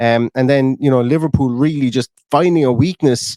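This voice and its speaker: With an Irish accent, a man speaks at a fairly quick pace in a medium pitch with ordinary pitch variation. The recording is very clean, with a silent background and a dry, close sound with no echo. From Ireland. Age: 30s. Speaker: football fan podcaster. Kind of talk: casual chat. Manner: repetitive, stammering restarts.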